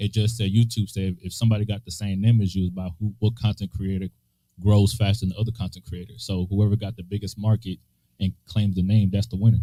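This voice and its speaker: At a very fast pace, a man talks in a somewhat breathy voice with monotone, flat intonation. His pitch is fairly low and his tone dark and mellow. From DR Congo, raised in Decatur, Georgia from age six. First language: not English. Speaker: podcaster. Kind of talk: casual chat.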